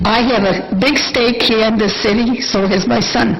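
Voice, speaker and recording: A woman speaks at a fairly high pitch with fairly even intonation, against noticeable background noise and audible room echo. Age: 80s+. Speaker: public commenter at council meeting. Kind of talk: public comment. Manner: halting.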